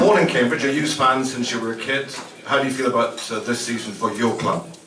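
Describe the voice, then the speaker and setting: Over music in the background and with audible room echo, a man speaks very fast at a medium pitch with ordinary pitch variation. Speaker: radio presenter hosting player introductions. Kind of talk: live event introductions and interviews.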